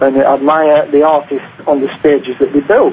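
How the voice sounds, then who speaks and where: A man in a Northern English accent at a moderate pace, with noticeable background noise. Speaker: author and conspiracy researcher. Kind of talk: radio interview answer. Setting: phone line. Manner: hesitant, many fillers.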